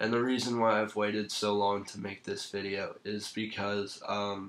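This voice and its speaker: Fairly low male voice at a moderate pace, monotone with flat intonation. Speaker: sports fan vlogger. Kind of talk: casual video commentary. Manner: hesitant, many fillers.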